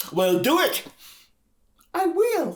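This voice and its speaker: The speaker uses a put-on character voice. It sits at an extremely high pitch. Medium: read story. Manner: homespun, drawling.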